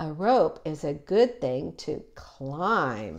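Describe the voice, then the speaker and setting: A woman's put-on character voice, very deep and low, at a very slow pace. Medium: read story.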